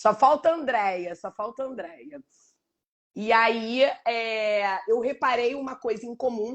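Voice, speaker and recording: A woman speaks at a very slow pace with a fairly high pitch and ordinary pitch variation. Her loudness swings a lot. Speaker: live show host and book organizer. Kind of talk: casual chat. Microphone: connection issues, switched to 4G.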